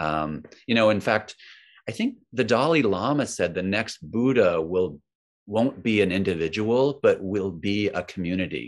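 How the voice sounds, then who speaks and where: Against a quiet background, a man with a fairly low pitch and a normal speaking voice speaks at a moderate pace with lively intonation. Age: 50s. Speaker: mindfulness author and teacher. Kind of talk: casual interview chat.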